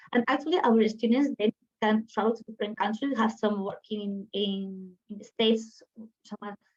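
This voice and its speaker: A woman speaks in a somewhat breathy voice. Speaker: university program representative. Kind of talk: webinar presentation. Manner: fast.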